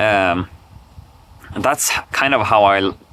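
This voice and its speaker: Speaking very slowly with a Swedish accent, a man has a fairly low voice with ordinary pitch variation. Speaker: vlogger. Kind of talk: unscripted personal vlog monologue. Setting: talking alone to camera. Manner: halting, many repetitions and fillers.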